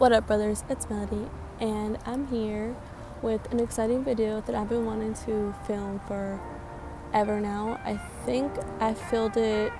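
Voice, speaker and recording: Room echo and music in the background surround a woman speaking at a fairly slow pace. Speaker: craft vlogger. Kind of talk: tutorial. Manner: quiet, less energetic; casual, hesitant.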